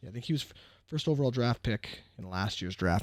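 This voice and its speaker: Soft-spoken and very fast, a man talks with lively intonation on a very clean recording with a silent background. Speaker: sports card collector youtuber. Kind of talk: casual card-opening commentary. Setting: at home, kids sleeping. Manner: quiet, soft-spoken.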